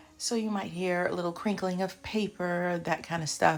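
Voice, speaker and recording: With a fairly low pitch and moderate pace, the woman talks as noticeable background noise carries on. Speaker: psychology advice video host. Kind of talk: casual talk to camera. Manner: conversational, self-correcting.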